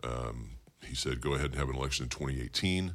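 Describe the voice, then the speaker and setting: Vocal fry marks this man's fairly quick speech in an American accent. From Bakersfield, California. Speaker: county supervisor and political candidate. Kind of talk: interview.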